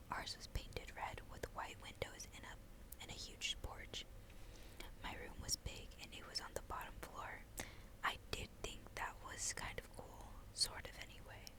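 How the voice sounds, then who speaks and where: A woman whispers fairly slowly while noticeable background noise goes on around her. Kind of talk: novel read aloud. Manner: whispered.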